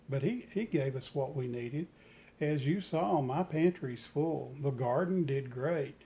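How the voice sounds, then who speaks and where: The man speaks at a fairly slow pace and fairly high pitch, his tone dark, mellow and somewhat breathy, with ordinary pitch variation. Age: 60s. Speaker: retired home gardener, vlogger. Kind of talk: reflective vlog talk. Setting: sunroom at home.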